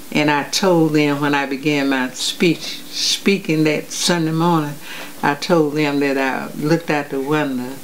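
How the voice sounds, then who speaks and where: Over noticeable background noise, the speaker talks fairly slowly in an American accent with fairly even intonation. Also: woman, very deep, low pitch for a woman. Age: 80s+. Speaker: public speaker. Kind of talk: interview answer.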